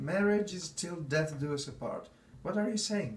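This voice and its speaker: A man's high-pitched voice with lively intonation at a moderate pace, amid noticeable background noise. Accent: slight continental European. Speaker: actor. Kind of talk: acted dramatic scene dialogue.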